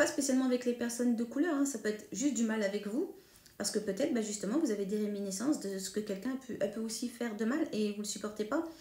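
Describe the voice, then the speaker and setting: Talking at a very fast pace, a woman uses a fairly high pitch with ordinary pitch variation, her tone dark and mellow and her voice somewhat breathy. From northern France (Hauts-de-France, Picardy). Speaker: medium. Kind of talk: monologue to camera. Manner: hesitant, many fillers.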